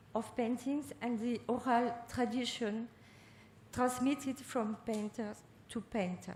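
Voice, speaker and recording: A woman with a French accent speaks in a high voice at a fairly slow pace. Her intonation stays fairly even. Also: long, frequent pauses. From France. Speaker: art researcher. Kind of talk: lecture.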